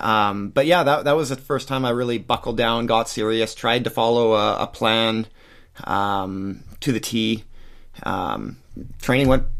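A man speaks in an ordinary speaking voice with a Canadian accent, his pitch medium and his pace fairly slow. The recording is very clean, with a silent background. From Western Canada (Surrey, British Columbia). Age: 30s. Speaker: ultra runner and structural engineer. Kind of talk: interview.

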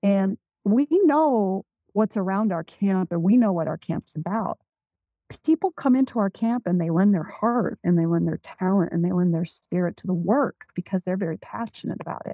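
A woman with an ordinary speaking voice and an American accent talks at a medium pitch and moderate pace with lively intonation. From US Pacific Northwest, Spokane reservation, eastern Washington. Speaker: Native business owner and consultant. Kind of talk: interview.

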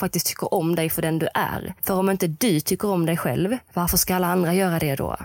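A woman's plain, everyday voice, fairly low in pitch, with fairly even intonation and a moderate pace, on a very clean recording with a silent background. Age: 20s. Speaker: mental coach for equestrians. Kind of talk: solo podcast monologue.

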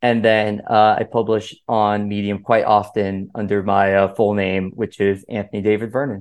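Speaking in an American accent at a moderate pace with hardly any pauses, a man keeps a fairly low pitch and a monotone, flat intonation. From Miami, Florida (Cuban American). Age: 20s. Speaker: author and philosopher. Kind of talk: interview podcast.

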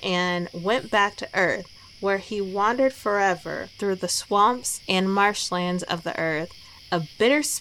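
Fairly flat intonation in an unforced reading voice

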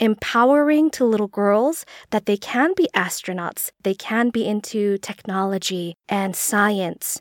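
Using an ordinary speaking voice, a woman speaks at a fairly slow pace with hardly any pauses, medium pitch and ordinary pitch variation, in a dry, close sound with no echo. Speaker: podcast co-host. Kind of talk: casual chat.

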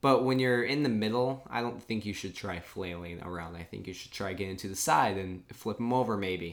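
An unremarkable speaking voice with ordinary pitch variation swings widely in loudness. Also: man, fairly low pitch for a man. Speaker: podcast host. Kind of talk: casual chat, live reaction recap.

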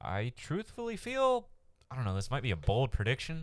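Lively intonation marks this man's speech at a fairly quick pace. The recording is very clean, with a silent background. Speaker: fantasy sports podcast host. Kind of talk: casual chat. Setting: studio mic recording. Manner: leans back from the mic, sounds distant at times.

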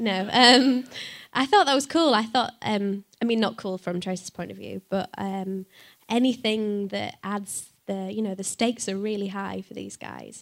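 With a Yorkshire accent, a woman speaks at a moderate pace and medium pitch with fairly even intonation, on a very clean recording with a silent background. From northern England. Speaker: voice actress. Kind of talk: live panel Q&A. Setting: stage with audience.

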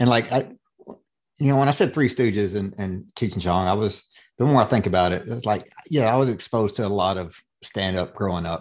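Over a quiet background, a man with an unremarkable speaking voice and fairly low pitch talks at a fairly quick pace with ordinary pitch variation. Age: 40s. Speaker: comedian and podcast host. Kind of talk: casual chat.

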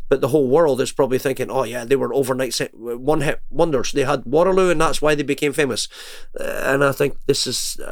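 A man with a Scottish accent at a very fast pace. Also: fairly high pitch for a man, fairly even intonation. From Scotland. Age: 50s. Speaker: singer and music entrepreneur. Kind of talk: interview.

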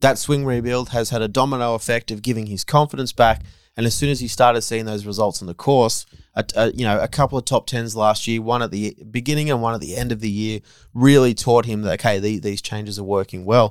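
Delivered at a very fast pace in an Australian accent, a man's medium-pitched voice keeps a fairly even intonation on a very clean recording with a silent background. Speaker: golf journalist. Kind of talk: casual chat. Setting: on location at golf tournament.

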